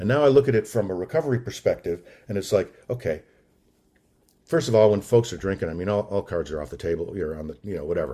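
Very fast and somewhat breathy, the voice has a dark, mellow tone, lively intonation and big swings in loudness. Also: man. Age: 60s. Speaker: recovery meeting speaker. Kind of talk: testimony.

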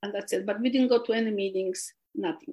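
A woman speaks in a Polish accent at a fairly high pitch with ordinary pitch variation. The background is quiet. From Poland. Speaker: recovering alcoholic sharing story. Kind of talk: testimony. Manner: halting.

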